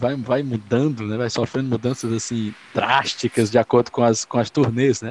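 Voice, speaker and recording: A normal speaking voice from a man at medium pitch and fairly slow pace, with a dry, close sound and no echo. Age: 30s. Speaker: podcast co-host. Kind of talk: casual chat.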